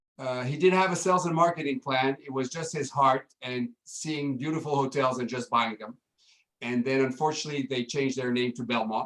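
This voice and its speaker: With a French accent, a man speaks at a fairly quick pace and medium pitch, using ordinary pitch variation. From France. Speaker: hotel general manager. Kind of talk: casual interview.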